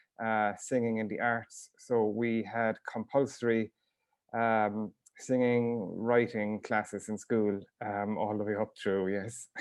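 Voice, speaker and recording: In a Waterford accent, a man speaks very slowly in a fairly low, flat monotone. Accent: Irish, Waterford. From Ireland, Ring Gaeltacht, County Waterford. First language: Irish. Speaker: author and teacher. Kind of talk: casual interview. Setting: video call. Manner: hesitant, many fillers.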